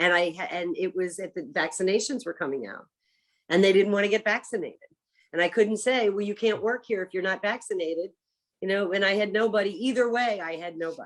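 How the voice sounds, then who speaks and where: A woman with an American accent at medium pitch, very fast, with ordinary pitch variation. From US Northeast, Philadelphia area. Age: 60s. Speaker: chef. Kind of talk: casual interview chat.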